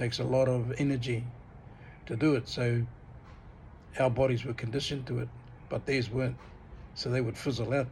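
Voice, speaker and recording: The delivery is fairly quick and fairly even in intonation, with vocal fry and audible room echo. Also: man. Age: 60s. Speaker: vlogger. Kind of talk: casual monologue vlog. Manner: hesitant, many fillers and repeats.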